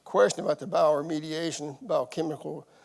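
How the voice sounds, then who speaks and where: With a Southern US accent, a man speaks at a moderate pace in a fairly high voice. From eastern Kentucky. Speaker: environmental site manager. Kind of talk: public meeting self-introduction. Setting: public meeting room, also streamed online.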